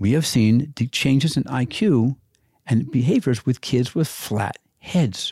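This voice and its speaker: Recorded dry and close with no echo and a silent, very clean background, a man of medium pitch speaks at a fairly slow pace in a somewhat breathy voice with a dark, mellow tone, very even loudness and ordinary pitch variation. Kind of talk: casual interview chat.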